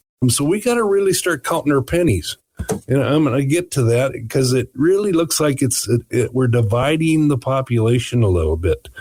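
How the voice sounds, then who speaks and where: A man with an unremarkable speaking voice talks at a fairly quick pace and a medium pitch, with lively intonation and very even loudness. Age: 60s. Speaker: financial radio show host. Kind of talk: casual radio chat about finance.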